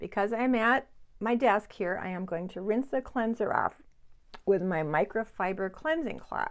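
Lively intonation from a woman at a fairly slow pace. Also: medium pitch for a woman.

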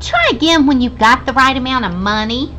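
Someone cackles in a put-on character voice with a fairly high pitch. The pace is fairly quick, and background noise is clear. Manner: cackling, sarcastic.

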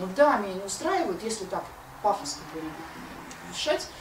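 Over noticeable background noise, a woman with a medium pitch talks at a moderate pace, her pitch swinging very widely. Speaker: philosopher, seminar co-leader. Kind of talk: philosophical seminar talk. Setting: lecture room with audience and microphone. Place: home room. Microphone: handheld.

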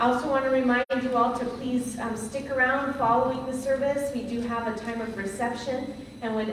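A woman at a moderate pace, amid audible room echo and noticeable background noise. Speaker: pastor. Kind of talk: announcements at a memorial service. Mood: warm, gentle. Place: church.

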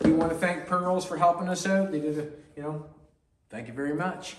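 Noticeable background noise runs under this clip. A man speaks in a high voice. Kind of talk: casual shop vlog narration. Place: workshop. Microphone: camera far.

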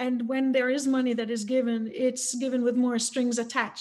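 Over a quiet background, a woman talks at a fairly quick pace. Her high voice stays monotone and flat. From Jamaica, Kingston suburbs; Jamaica. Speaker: fundraising coach, author; fundraising coach. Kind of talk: panel discussion. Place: home room. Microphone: webcam.

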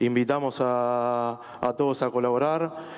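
A man speaks in a normal speaking voice at a medium pitch with fairly even intonation. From Argentina. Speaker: government official; panelist. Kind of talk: panel discussion. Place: stage. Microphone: headset.

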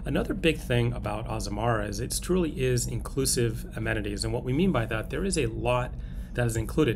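A man rattles along at a very fast clip while noticeable background noise carries on behind him. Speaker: travel vlogger. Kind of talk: casual review chat. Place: boat. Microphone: phone near.

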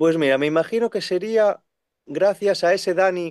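The sound is dry and close, with no echo. A man talks with ordinary pitch variation. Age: 30s. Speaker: second-hand bookseller. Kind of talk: casual chat.

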